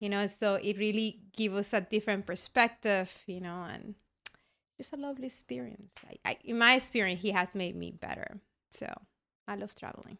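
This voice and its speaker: A woman with a Spanish accent, bright, sharp tone, medium pitch, ordinary pitch variation, moderate pace and big swings in loudness. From Colombia. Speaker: guest. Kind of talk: casual chat.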